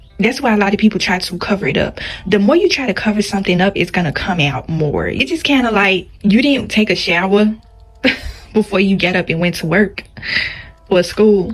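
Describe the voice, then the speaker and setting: Against noticeable background noise, a woman speaks at a medium pitch and fairly quick pace, with ordinary pitch variation. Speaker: YouTuber. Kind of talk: casual vlog monologue. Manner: soft-spoken.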